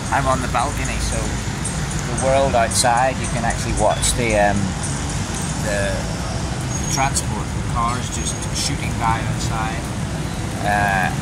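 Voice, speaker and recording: There is loud background noise behind a man's voice. He talks at a fairly slow pace with long, frequent pauses. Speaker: travel vlogger. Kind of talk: casual vlog chat. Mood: relaxed, enthusiastic. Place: street. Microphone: phone near.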